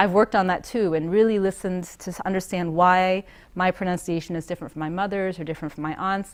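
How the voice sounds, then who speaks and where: Against a quiet background, a woman talks very fast at a fairly low pitch with ordinary pitch variation. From Maine, US, Taiwanese family. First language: Taiwanese. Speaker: interviewee on language learning. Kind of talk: interview answer. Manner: hesitant, with fillers and restarts.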